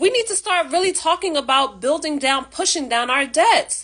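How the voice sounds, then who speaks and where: Lively intonation runs through this animated voice with a bright, sharp tone. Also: woman. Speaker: finance and self-improvement YouTuber. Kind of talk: casual talk-to-camera monologue. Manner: fast.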